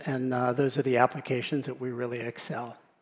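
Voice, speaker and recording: A plain, everyday voice: a man with an American accent, medium pitch and a fairly quick pace. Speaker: tech industry speaker. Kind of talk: conference talk with Q&A.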